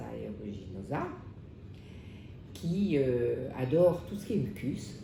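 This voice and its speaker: A woman's voice with very wide pitch swings and audible room echo. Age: 70s. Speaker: patient. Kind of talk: testimony. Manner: halting, many hesitations.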